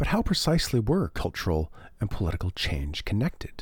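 Somewhat breathy and fairly low, a man's voice moves at a fairly quick pace with very wide pitch swings. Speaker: academic researcher and podcast host. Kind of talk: scripted narration.

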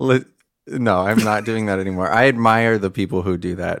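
An unremarkable speaking voice with an American accent. It moves at a moderate pace with ordinary pitch variation. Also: man. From US South. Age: 20s. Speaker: composer. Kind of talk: casual chat.

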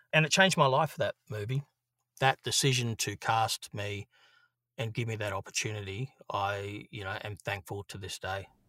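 Over a very clean recording with a silent background and dry, close sound free of echo, a man with an Australian accent speaks at a moderate pace in a fairly low pitch, his bright, sharp tone showing ordinary pitch variation and big swings in loudness. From Australia, Brisbane (Queensland). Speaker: actor and filmmaker. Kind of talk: casual chat. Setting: home recording booth.

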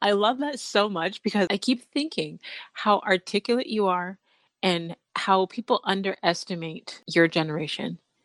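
A woman's unremarkable speaking voice at medium pitch, with lively intonation, a moderate pace, a quiet background and a dry, close sound with no echo. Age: 30s. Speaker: podcast host and mindset coach. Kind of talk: interview; scripted intro.

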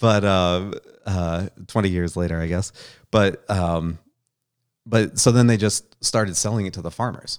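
On a very clean recording with a silent background, a man with an American accent and a very deep, low pitch talks at a moderate pace, his intonation fairly even and broken by long, frequent pauses. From upstate New York. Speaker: farmer. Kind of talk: casual interview. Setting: studio. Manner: halting, many fillers.

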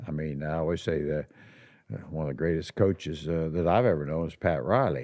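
Against a quiet background, a man with an American accent talks at a fairly quick pace in a very deep, low voice with vocal fry, a dark, mellow tone and ordinary pitch variation. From US Midwest. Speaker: podcast host and former basketball executive. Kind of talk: casual interview chat. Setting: studio.

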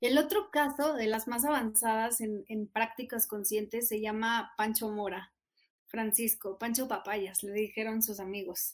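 The speaker has a northern Mexican accent and fairly even intonation. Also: woman, fairly high pitch for a woman. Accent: northern Mexican (Monterrey). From Mexico, Monterrey. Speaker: nonprofit country manager. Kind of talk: interview.

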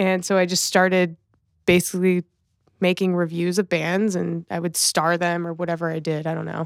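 A woman speaks in an American accent with monotone, flat intonation. The sound is dry and close with no echo, on a very clean recording with a silent background. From Los Angeles, US. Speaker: music event producer and talent buyer. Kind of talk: casual interview chat.

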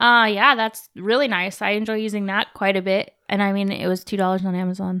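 A woman with an unremarkable speaking voice talks at a medium pitch with fairly even intonation. Her recording is very clean, with a silent background. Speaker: host's wife, guest. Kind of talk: casual chat. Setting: home bathroom studio.

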